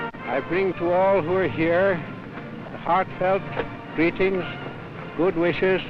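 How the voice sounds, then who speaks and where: Music plays behind a man with a high voice. He talks fairly slowly, with long, frequent pauses. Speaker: prime minister. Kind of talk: political speech.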